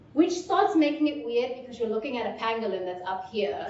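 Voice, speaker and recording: A woman with lively intonation, plus audible room echo and noticeable background noise. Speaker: VR filmmaker. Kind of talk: technical presentation Q&A. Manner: loud.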